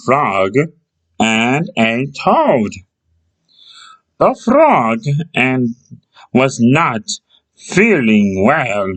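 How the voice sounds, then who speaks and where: A put-on character voice at a low-to-middle pitch moves at a very slow pace. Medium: read story. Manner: gentle, kindly.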